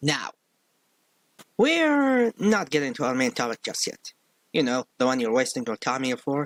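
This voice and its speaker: With a strong non-native accent, a man at a fairly high pitch speaks at a moderate pace with very wide pitch swings, in a dry, close sound with no echo. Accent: strong non-native accent, needs subtitles. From outside the US. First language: not English. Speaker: film critic youtuber. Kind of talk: online video commentary. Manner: slurred.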